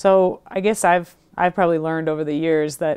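An American-accented woman at a fairly low pitch and a moderate pace, against a quiet background. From US Midwest. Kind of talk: interview. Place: studio. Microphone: lapel.

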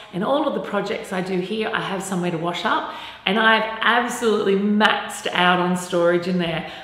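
The voice carries ordinary pitch variation, with audible room echo around it. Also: woman. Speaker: presenter. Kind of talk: presenter talk to camera. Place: home room.

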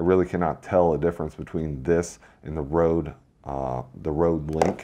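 A man talks at a moderate pace in a flat monotone. The background is quiet. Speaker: gear reviewer. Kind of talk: product review and sound test. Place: studio. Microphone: lapel.

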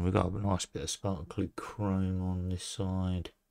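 Speaking very slowly in an English accent, a man uses a very deep, low, dark and mellow voice over a quiet background. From England. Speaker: scale model builder. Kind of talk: hobby tutorial video; casual hobby show-and-tell. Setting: at a hobby desk. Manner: casual with frequent hesitations. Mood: relaxed, a bit unsure. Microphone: phone near.

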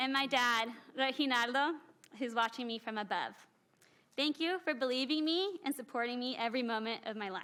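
Bright and sharp in tone, a woman's raised, projected voice sits at a high pitch with ordinary pitch variation and an American accent. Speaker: city council member. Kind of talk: inaugural speech. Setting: council chamber with mic. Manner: loud; fast.

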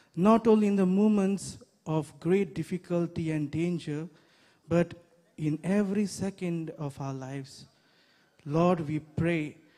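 A man's high pitch broken by long, frequent pauses. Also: ordinary pitch variation, fairly slow pace, quiet background. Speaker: priest leading prayer. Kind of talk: prayer. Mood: solemn, calm. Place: open country. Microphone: handheld.

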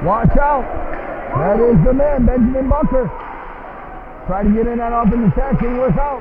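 This man speaks at an extremely high pitch with ordinary pitch variation, taking long, frequent pauses over noticeable background noise. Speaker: amateur hockey play-by-play announcer. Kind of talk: rapid-fire live hockey play-by-play, clipped fragments tracking the puck. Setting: rink-side at a live game. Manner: enthusiastic, folksy hype-man energy.

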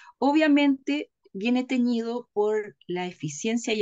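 The intonation is lively. The background is quiet. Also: woman. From Chile. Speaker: political commentator. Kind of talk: political discussion. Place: home room. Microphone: webcam.

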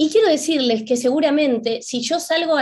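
Lively intonation marks this woman's speech. She talks at a moderate pace. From Argentina, Buenos Aires. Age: 50s. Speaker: spiritual teacher and author; spiritual teacher. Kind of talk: lecture. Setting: video call. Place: home room. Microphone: webcam.

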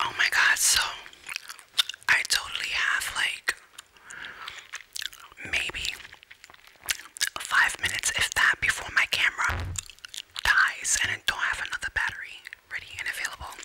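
Whispering at a moderate pace, a woman speaks. She leaves long, frequent pauses. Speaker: ASMR creator. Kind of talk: casual talk to camera. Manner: whispered. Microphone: studio mic.

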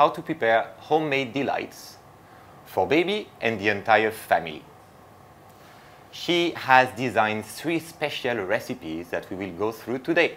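Vocal fry marks a man's voice, which swings very widely in pitch over light background noise. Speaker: host presenter. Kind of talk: presenting introduction. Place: kitchen.

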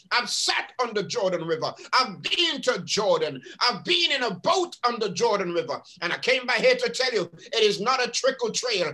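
A man's extremely high, raised, projected voice, animated, at a moderate pace with very wide pitch swings. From England. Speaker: pastor. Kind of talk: sermon. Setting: video call. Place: home room. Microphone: webcam.

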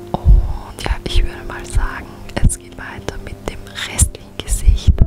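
The speaker is a woman. She whispers at a fairly slow pace. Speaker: beauty YouTuber. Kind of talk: ASMR makeup tutorial. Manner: whispered. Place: home room.

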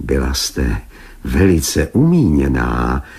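A put-on character voice from a man, very deep and low, shaky, with ordinary pitch variation and light background noise. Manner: fearful, voice trembling.

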